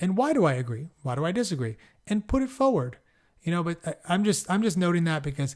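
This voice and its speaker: Over a silent background in a very clean recording, a man with an American accent speaks fairly quickly in a somewhat breathy voice. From Southern California. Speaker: podcast host. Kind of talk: podcast introduction. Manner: casual, hesitant with fillers.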